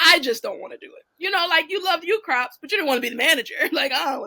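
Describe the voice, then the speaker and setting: A woman speaks very fast in a raised, projected voice that is bright and sharp, pitched extremely high, with very wide pitch swings and big swings in loudness. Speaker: real estate investor and coach. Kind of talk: casual chat.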